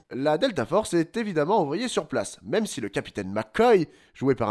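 The man's voice is fairly high, with very wide pitch swings and vocal fry, at a moderate pace. The sound is dry and close, without echo. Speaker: radio film critic. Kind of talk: comedic film review. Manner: animated.

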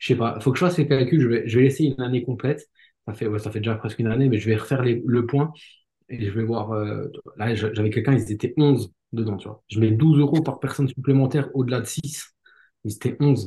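Somewhat breathy and dark, mellow in tone, a man speaks at a medium pitch and fairly quick pace with ordinary pitch variation. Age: 30s. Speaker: podcast host, healthcare worker and real estate coach. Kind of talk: casual chat.

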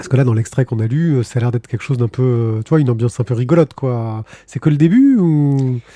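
The voice has a dark, mellow tone and a very fast pace. The sound is dry and close, with no echo. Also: man, medium pitch for a man, ordinary pitch variation. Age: 40s. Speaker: podcast host. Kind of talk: casual chat; reading aloud.

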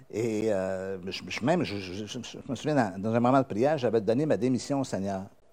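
Speaking in a Quebec accent, a man has a fairly low pitch and a dark, mellow tone. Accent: Québécois. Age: old. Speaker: pastor. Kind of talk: sermon.

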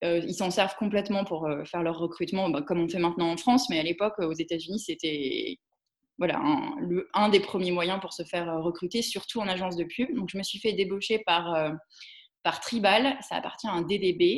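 A woman with an unremarkable speaking voice uses a medium pitch, ordinary pitch variation, and a moderate pace. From Alsace, Strasbourg. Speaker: entrepreneur. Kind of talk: interview.

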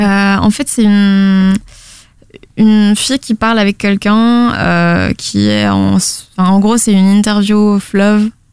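At a very slow pace, the delivery is monotone and flat, with very even loudness. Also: woman, medium pitch for a woman. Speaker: podcast network founder. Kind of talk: interview.

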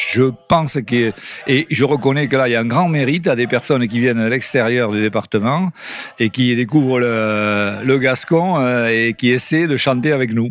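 At a moderate pace and a medium pitch, a man talks through noticeable background noise. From Landes, Gascony. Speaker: retiree, workshop member. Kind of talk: interview.

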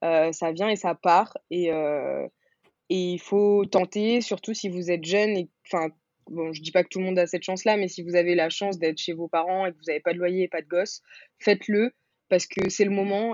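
A woman in an ordinary speaking voice, at medium pitch and a moderate pace, uses fairly even intonation while her loudness swings widely. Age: 20s. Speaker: entrepreneur, founder of a hair care brand. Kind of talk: interview.

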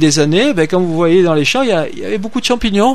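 A man speaks with a slight Marseille accent and lively intonation over noticeable background noise. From Marseille, southern France. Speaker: farmer and association president. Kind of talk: radio interview. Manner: halting.

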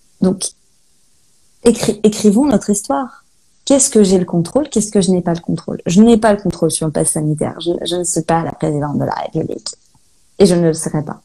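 A woman speaks at a medium pitch with a somewhat breathy, dark and mellow tone. Her lively intonation moves at a fairly quick pace, broken by long, frequent pauses. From Brittany, Saint-Malo. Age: 30s. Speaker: holistic guide and medium. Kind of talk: interview. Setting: Instagram live video call.

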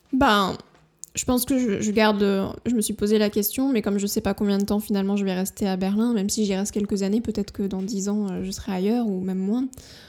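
Words come at a fairly quick pace. Intonation is monotone and flat. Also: woman, medium pitch for a woman. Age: 30s. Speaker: freelance web writer and blogger. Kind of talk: casual interview chat. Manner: hesitant, many fillers.

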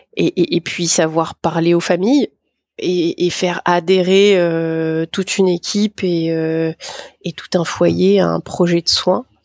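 Very slowly, a woman talks in a fairly low pitch with fairly even intonation. The recording is very clean, with a silent background. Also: dry, close sound with no echo. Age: 40s. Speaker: geriatrician, care home doctor. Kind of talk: interview. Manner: hesitant, many fillers.

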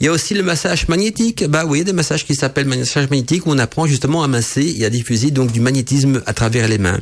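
Speaking very fast with hardly any pauses, a man uses a fairly high voice and lively intonation. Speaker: radio host on witchcraft and esotericism. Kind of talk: solo radio talk show. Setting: radio studio. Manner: hesitant, many fillers and repetitions.

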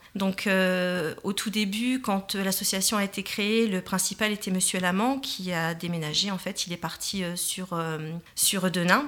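Her voice sits at medium pitch for a woman, with fairly even intonation. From northern France, Tourcoing. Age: 40s. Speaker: parents' association president. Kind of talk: radio interview. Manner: hesitant, many fillers.

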